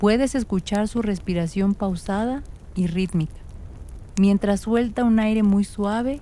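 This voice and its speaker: Soft-spoken and dark, mellow in tone, a woman speaks at a medium pitch and a fairly slow pace with ordinary pitch variation. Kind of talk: sleep story. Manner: soft-spoken, slow.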